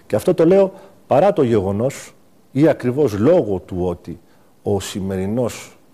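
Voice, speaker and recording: On a very clean recording with a silent background, a man at medium pitch with a dark, mellow tone swings very widely in pitch at a fairly slow pace. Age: 60s. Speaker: diplomat and political candidate. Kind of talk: TV interview. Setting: TV studio.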